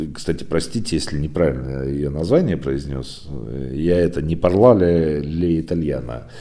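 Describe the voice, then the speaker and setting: A man's very deep, low voice at a moderate pace with ordinary pitch variation, audible room echo and noticeable background noise. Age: 40s. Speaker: podcast host, site owner. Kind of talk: solo news digest podcast. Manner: conversational, filler-heavy.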